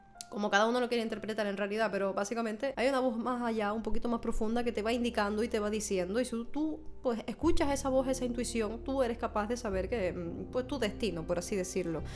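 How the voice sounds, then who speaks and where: Very fast talk from a woman with a fairly high pitch over noticeable background noise. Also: ordinary pitch variation, hardly any pauses. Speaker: music reaction youtuber. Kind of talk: casual reaction commentary.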